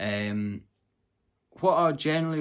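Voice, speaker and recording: A man with a Scottish accent. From Scotland, Southern Uplands. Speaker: travel vlogger. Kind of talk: casual tutorial. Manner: casual, conversational with fillers.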